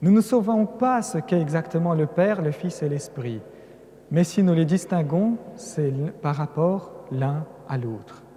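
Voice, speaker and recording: Lively in intonation, a man with a fairly high pitch speaks at a fairly slow pace. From Russia, Caucasus. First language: Russian (speaking French). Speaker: priest, religious lecturer. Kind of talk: lecture. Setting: cathedral with audience.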